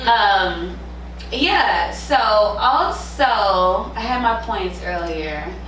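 Against light background noise and audible room echo, a woman talks at a very slow pace. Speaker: podcast co-host. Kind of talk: casual chat. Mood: opinionated, animated. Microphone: camera far.

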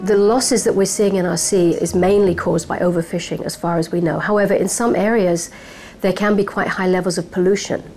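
Faint music plays in the background as a woman talks at a fairly quick pace with fairly even intonation. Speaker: professor. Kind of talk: interview answer. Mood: calm, explanatory. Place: office. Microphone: lapel.

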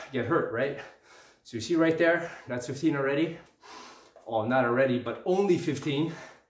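A man keeps a moderate pace, his pitch moving in an ordinary way, with room echo clearly audible. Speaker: fitness vlogger. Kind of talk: casual workout tutorial. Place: home room. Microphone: camera far.

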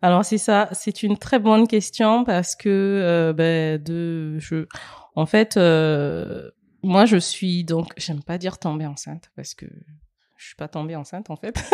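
Very slowly, a woman speaks at a fairly low pitch with ordinary pitch variation. The sound is dry and close, with no echo. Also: big swings in loudness. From Republic of the Congo. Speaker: mother. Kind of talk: interview. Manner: halting.

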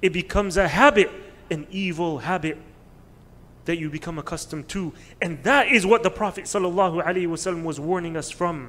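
The man's pitch sits high, with ordinary pitch variation. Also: moderate pace. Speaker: religious teacher. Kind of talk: sermon. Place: hall. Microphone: podium.

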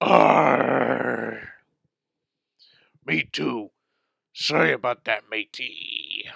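Putting on a raspy, cartoonish character voice, a man speaks at a very deep, low pitch with very wide pitch swings, at a very slow pace with long, frequent pauses. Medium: puppet. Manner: gruff pirate talk.

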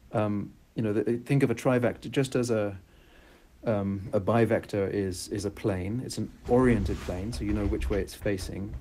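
The voice has a dark, mellow tone, ordinary pitch variation and a moderate pace over light background noise. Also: man. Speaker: presenter. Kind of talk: lecture. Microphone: video call.

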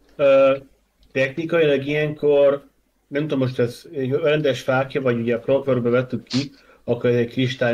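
Fairly quick and fairly even in intonation, a man talks in an unremarkable speaking voice at medium pitch. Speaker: role-playing game player. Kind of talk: tabletop role-playing game session.

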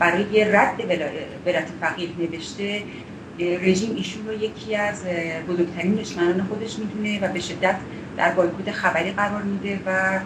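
Over noticeable background noise, a woman speaks at a moderate pace in a monotone, flat intonation. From Iran. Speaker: political activist, former prisoner; campaign spokesperson. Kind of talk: interview. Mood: serious, concerned. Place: home room. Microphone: video call.

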